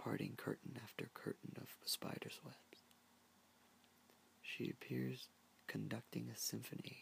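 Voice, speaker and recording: Whispering at a fairly slow pace, the voice is broken up by long, frequent pauses. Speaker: ASMR creator. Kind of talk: book reading. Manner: soft-spoken.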